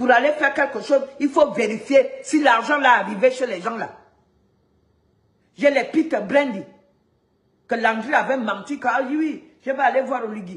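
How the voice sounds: Audible room echo surrounds a voice that moves at a moderate pace with ordinary pitch variation. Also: woman.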